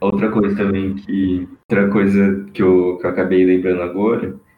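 Very deep, low male voice at a fairly slow pace, with audible room echo. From Brazil, São Paulo state (São José do Rio Preto). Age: 20s. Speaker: engineering student. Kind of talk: casual interview.

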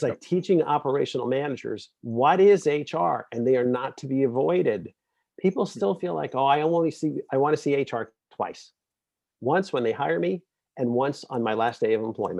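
A man with an American accent and a normal speaking voice talks at a moderate pace and fairly high pitch with lively intonation over a quiet background. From Brooklyn, New York. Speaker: HR executive and author. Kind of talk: interview.

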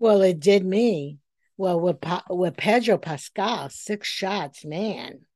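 At a very slow pace, a woman speaks in a dark, mellow tone. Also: medium pitch for a woman, ordinary pitch variation. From New York, Puerto Rican family. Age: 70s. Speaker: podcast co-host. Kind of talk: casual chat. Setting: remote call.

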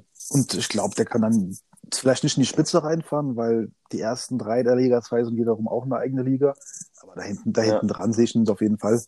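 Very fast and with big swings in loudness, a man speaks in a dark, mellow, medium-pitched voice with ordinary pitch variation. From southern Hesse, Germany (Odenwald near Darmstadt). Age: 20s. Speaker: sim racing driver. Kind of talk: casual chat.

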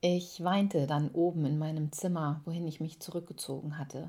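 Over a silent background in a very clean recording, a woman speaks at a moderate pace with a fairly low pitch, a dark, mellow tone and monotone, flat intonation. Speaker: podcaster. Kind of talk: personal storytelling monologue.

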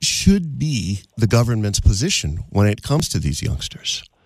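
A man of medium pitch speaks at a fairly slow pace in a somewhat breathy voice. His pitch swings very widely. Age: 50s. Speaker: radio talk show host. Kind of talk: call-in radio talk show.

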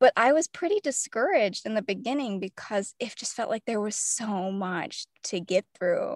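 A woman with an ordinary speaking voice and fairly high pitch talks at a moderate pace with hardly any pauses, the sound dry and close with no echo. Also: lively intonation. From US South, mainly Tennessee. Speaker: fiction author and poet. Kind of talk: interview conversation.

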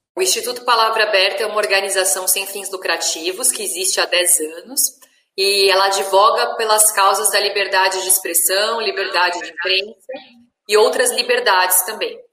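A woman with fairly even intonation keeps a moderate pace amid audible room echo. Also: medium pitch for a woman. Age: 30s. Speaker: journalist and media educator. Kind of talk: interview.

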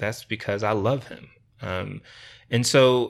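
A man with an American accent speaks at a medium pitch and a fairly slow pace on a very clean recording with a silent background. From Rochester, New York. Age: 30s. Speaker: non-profit founder. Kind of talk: interview conversation. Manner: hesitant, many fillers.

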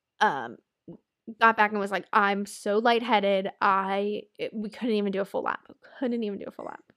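This woman's voice sits at a medium pitch and moves at a moderate pace. Her tone is animated, with big swings in loudness. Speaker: podcast co-host, new mother. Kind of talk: casual chat.

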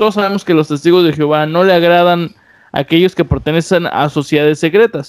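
This man speaks with a high pitch. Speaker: podcast host. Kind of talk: casual chat.

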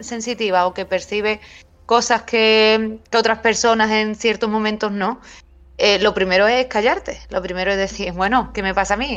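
Against a quiet background, a woman with a fairly high pitch talks at a moderate pace in an ordinary speaking voice. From Cádiz, Andalusia, Spain. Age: 40s. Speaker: writer and paranormal researcher. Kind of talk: casual interview.

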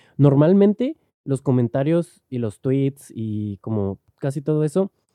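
A man with a Mexican accent has a dark, mellow tone and medium pitch, heard in a dry, close sound with no echo on a very clean recording with a silent background. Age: 20s. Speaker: podcaster. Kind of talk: casual monologue. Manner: halting, many fillers. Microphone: directional mic, worse when turning away.

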